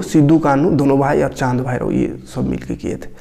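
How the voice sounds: This man's voice sits fairly high in pitch, with a dark, mellow tone, some vocal fry and a moderate pace.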